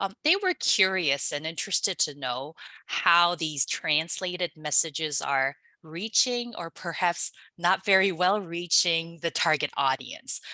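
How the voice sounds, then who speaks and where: A woman with a Korean accent speaks at a fairly slow pace and a fairly low pitch, with ordinary pitch variation. Her tone is bright and sharp, and the sound is dry and close with no echo. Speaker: linguistics researcher. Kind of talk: webinar presentation. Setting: online webinar. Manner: hesitant, many fillers.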